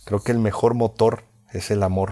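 The voice is somewhat breathy, with a dark, mellow tone and monotone, flat intonation at a very slow pace. The recording is very clean, with a silent background. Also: man. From Mexico, Veracruz. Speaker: podcaster, former radio announcer. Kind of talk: motivational monologue. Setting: lying in bed at home.

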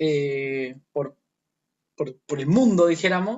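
With a Chilean accent, a man speaks at a very slow pace. His intonation is lively. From northern Chile, Chuquicamata. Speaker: performing arts company founder. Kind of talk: casual interview conversation. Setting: remote call from home. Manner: halting, repeats words.

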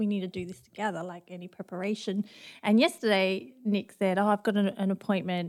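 Speaking at a fairly quick pace, a woman with an Australian accent has a medium-pitched voice and ordinary pitch variation. Her loudness swings widely. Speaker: campus pastor. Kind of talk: casual chat.

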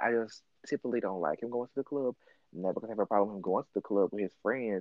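Very fast speech with a slight Southern US accent. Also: man. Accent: mild Southern US. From US South, Mississippi. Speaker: podcast host. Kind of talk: casual chat.

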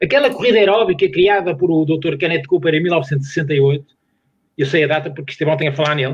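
A man speaks at a fairly quick pace with a fairly high pitch. It is a plain, everyday voice. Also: ordinary pitch variation. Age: 60s. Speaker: sports science professor. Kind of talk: casual chat.

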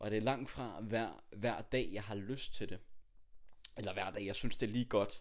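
A man's voice, a plain, everyday voice, sits fairly low in pitch, moves at a moderate pace, and shows ordinary pitch variation. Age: 20s. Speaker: podcast host, aspiring public speaker. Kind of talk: casual chat. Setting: home, on a sofa.

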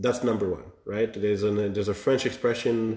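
This man's medium-pitched voice has a dark, mellow tone, sounds somewhat breathy, and moves at a moderate pace with ordinary pitch variation. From Quebec, Montreal. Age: 20s. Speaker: young entrepreneur. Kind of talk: casual interview.

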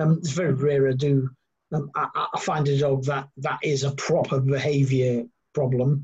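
The voice is somewhat breathy and delivered in a flat monotone. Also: man. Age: 50s. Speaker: dog trainer. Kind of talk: casual chat.

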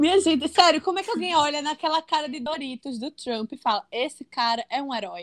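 In a dry, close recording with no echo, a high-pitched woman talks at a fairly quick clip with lively intonation, big swings in loudness and hardly any pauses. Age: 20s. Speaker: copywriter and screenwriter. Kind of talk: casual chat.

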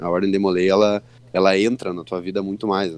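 Here a man is heard against a quiet background. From Rio Grande do Sul, Santa Maria. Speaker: state deputy and lawyer. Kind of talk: interview. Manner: casual, hesitant fillers.

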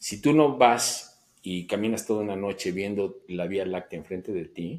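Using a normal speaking voice, a man talks at a fairly slow pace in a fairly low pitch with lively intonation. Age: 60s. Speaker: amateur photographer. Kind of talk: interview.

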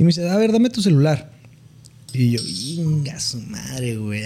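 A man has an unremarkable speaking voice at fairly high pitch. His intonation is lively and his pace moderate. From Mexicali, Baja California, Mexico. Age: 20s. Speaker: economist. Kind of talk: casual chat.

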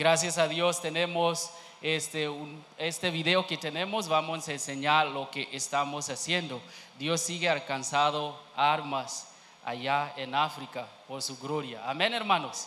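This man's voice sits fairly high for a man, with fairly even intonation. Room echo is audible. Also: fairly slow pace. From Kenya. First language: not Spanish (speaking Spanish). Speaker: missionary. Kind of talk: church testimony. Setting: church. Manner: halting.

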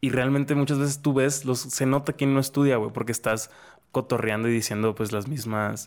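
In a normal speaking voice, the speaker keeps a moderate pace, fairly even intonation and very even loudness. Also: man, medium pitch for a man. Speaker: podcast host. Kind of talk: casual chat.

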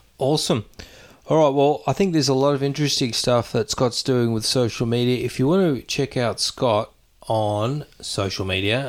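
Speaking at a moderate pace with ordinary pitch variation and an Australian accent, this voice comes through on a very clean recording with a silent background. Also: man. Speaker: podcast host. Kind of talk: casual interview chat.

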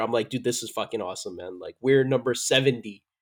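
A man talks at a very fast pace in a medium pitch. The recording is very clean, with a silent background. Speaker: podcast co-host. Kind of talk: casual chat. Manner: halting, repeats words.

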